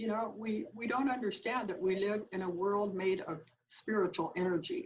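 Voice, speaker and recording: A woman talks at a moderate pace in a medium pitch. Her voice is somewhat breathy, with ordinary pitch variation. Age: 80s+. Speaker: author. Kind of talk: interview. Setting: video call.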